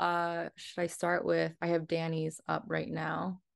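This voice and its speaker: In a quiet background, a woman speaks with an American accent. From New Jersey. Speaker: Chinese astrology practitioner. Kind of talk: casual chat.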